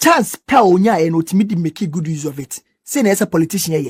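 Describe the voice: The speaker talks at a fast pace with lively intonation and a slightly husky edge. The recording is very clean, with a silent background. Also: man, high pitch for a man.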